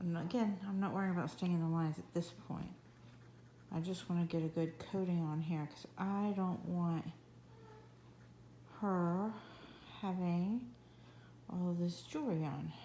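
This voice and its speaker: This woman's voice is somewhat breathy, with a dark, mellow tone and fairly low pitch. Her intonation stays fairly even, broken by long, frequent pauses. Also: moderate pace. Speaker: coloring app tutorial creator. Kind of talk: tutorial. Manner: casual.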